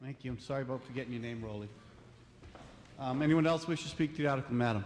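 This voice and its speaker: Speaking in a Boston accent, a man talks at a very fast pace. His pitch is medium, with ordinary variation. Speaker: town meeting moderator. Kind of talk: meeting moderation.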